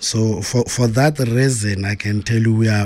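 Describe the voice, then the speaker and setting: A somewhat breathy voice speaks at a moderate pace with fairly even intonation, on a very clean recording with a silent background. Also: man. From South Africa, Pretoria township. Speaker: forensic auditor and DJ. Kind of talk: interview. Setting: studio.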